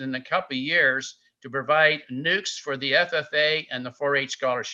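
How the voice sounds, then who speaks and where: Against a quiet background, a man with an American accent speaks at a fairly slow pace in a bright, sharp tone. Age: 80s+. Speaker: beekeeper giving a talk. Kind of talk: slide presentation lecture. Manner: hesitant, frequent uh fillers.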